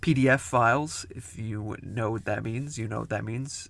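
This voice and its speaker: Fairly slow, fairly even-toned speech from a man. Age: 20s. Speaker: reaction video host. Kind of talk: casual commentary. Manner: halting, many fillers and restarts.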